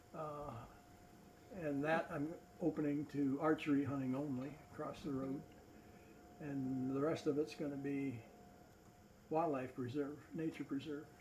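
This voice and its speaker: Pausing long and often, a man speaks at a moderate pace in a monotone, flat intonation. His pitch is fairly high and his voice is somewhat breathy. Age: 70s. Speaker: naturalist. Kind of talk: casual chat. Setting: public library talk.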